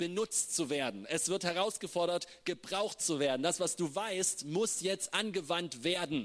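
Here a man speaks in an animated tone. His pitch varies in an ordinary way. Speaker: preacher. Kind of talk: sermon. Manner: halting.

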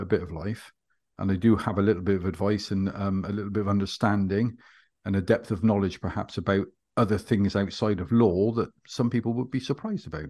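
Against a quiet background, a man with a West Country accent speaks at a fairly quick pace and fairly low pitch with ordinary pitch variation. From West Country, England. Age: 50s. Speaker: hypnotherapist and former police officer. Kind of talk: interview.

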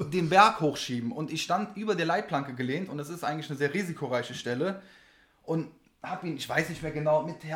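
A man speaks in a normal speaking voice at a fairly quick pace. His pitch is fairly high, with ordinary variation. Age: 30s. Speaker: race mechanic. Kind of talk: casual chat.

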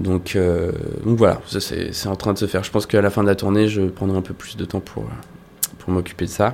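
A man's fairly low, monotone, flat voice at a moderate pace. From France, La Rochelle. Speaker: rock guitarist. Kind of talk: casual interview chat. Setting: studio.

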